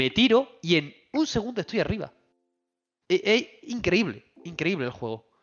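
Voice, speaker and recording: A man's high voice with very wide pitch swings, at a fairly slow pace. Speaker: video game podcast co-host. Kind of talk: casual chat. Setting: livestream on Twitch. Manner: animated.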